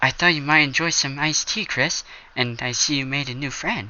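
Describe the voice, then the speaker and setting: A man uses a put-on character voice, fairly high in pitch. The voice sounds timid. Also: fairly quick pace. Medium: read story. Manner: soft-spoken, timid.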